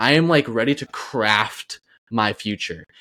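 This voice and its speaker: With a normal speaking voice at a medium pitch, a man speaks with lively intonation on a very clean recording with a silent background. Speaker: podcast co-host. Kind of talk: casual chat.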